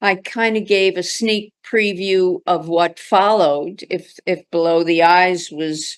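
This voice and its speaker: Speech comes at a very slow pace with fairly even intonation. The background is quiet. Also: woman. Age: 80s+. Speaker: artist. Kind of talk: lecture; q&a answer. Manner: halting, many fillers.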